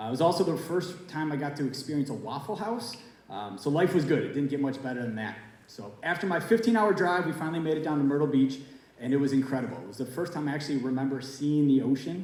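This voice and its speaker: A man speaks very fast at a fairly high pitch, with audible room echo and noticeable background noise around him. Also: lively intonation. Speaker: teacher telling a story. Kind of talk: storytelling to audience.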